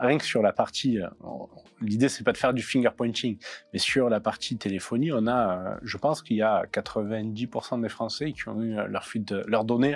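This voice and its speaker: A man with a southern French accent speaks at a moderate pace in a medium pitch with fairly even intonation. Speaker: cybersecurity expert. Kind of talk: interview. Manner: hesitant, many fillers.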